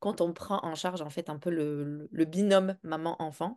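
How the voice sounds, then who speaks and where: A woman talks at a fairly slow pace in an unremarkable speaking voice, with ordinary pitch variation against a quiet background. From Morocco. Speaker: parenting coach for neurodivergent children. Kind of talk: interview testimony.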